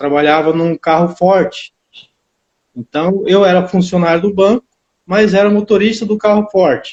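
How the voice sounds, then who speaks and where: A dry, close, echo-free recording of a man speaking in a high pitch. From Brazil, interior town. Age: 60s. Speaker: karate instructor. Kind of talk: interview.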